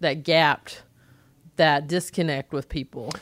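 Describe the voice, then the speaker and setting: Speaking at a fairly slow pace, a woman with a fairly low pitch uses ordinary pitch variation in a very clean recording with a silent background. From North Carolina, US South. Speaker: stand-up comedian. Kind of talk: casual chat.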